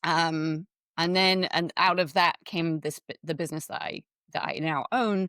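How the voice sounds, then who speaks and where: A woman's very deep, low voice with an English accent, dry and close with no echo on a very clean recording with a silent background. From England. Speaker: web accessibility consultant. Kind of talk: interview.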